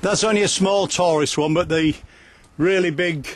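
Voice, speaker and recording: In a dry recording with no echo, a man speaks in a high pitch with ordinary pitch variation. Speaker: walk guide filming. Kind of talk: casual walking commentary. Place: waterside. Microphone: phone near.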